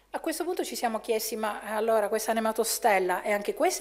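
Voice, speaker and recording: A woman is speaking. She keeps a fairly quick pace. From Italy. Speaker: chemistry professor. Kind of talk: lecture. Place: hall.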